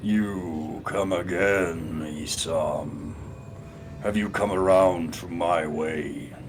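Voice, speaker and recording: A man puts on a character voice with a very deep, low pitch, speaking at a very slow pace over clear background noise. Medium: read story. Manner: tempting, domineering.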